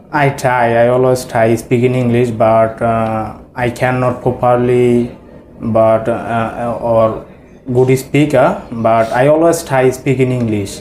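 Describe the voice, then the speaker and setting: A man with a Bengali accent speaks very slowly in a monotone, flat intonation. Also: medium pitch for a man, very even loudness. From Bangladesh. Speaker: English language student. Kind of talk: mock speaking test interview. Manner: halting, many hesitations.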